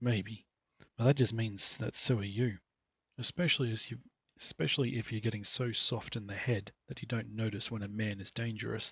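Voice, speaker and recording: Growling in a put-on character voice, a man speaks at a moderate pace and medium pitch. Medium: read story. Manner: blunt, wary.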